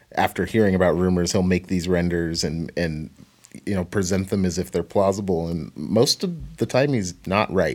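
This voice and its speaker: A man with an American accent, very deep and low in pitch, at a moderate pace. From Portland, Oregon. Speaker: podcast co-host. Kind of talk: casual chat.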